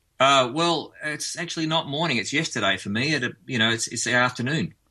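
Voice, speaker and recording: Speaking with an Australian accent, a man moves at a fairly quick pace with ordinary pitch variation. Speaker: musician. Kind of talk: radio interview.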